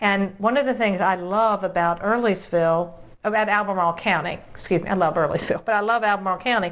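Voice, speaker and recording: In an American accent, a woman with an ordinary speaking voice talks at a fairly quick pace, her medium pitch showing ordinary variation. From Virginia. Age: 60s. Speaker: realtor and video host. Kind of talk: interview.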